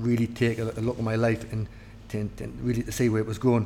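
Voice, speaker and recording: In a Geordie accent, the speaker goes at a very fast pace with a monotone, flat intonation. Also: man. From northeast England, near Newcastle. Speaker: army officer. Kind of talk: interview. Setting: officers' mess.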